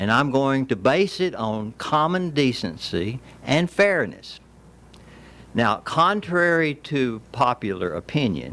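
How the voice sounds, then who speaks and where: A man with a Tennessee accent speaks very slowly at a medium pitch, with very wide pitch swings and a bright, sharp tone. The recording is very clean, with a silent background. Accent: Southern US (Tennessee). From Tennessee, Williamson County. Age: 70s. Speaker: landowner, public commenter. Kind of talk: public comment speech.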